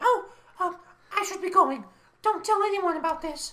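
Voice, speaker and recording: A woman speaks in a put-on character voice that is squeaky and extremely high in pitch, with ordinary pitch variation. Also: moderate pace. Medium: audio drama.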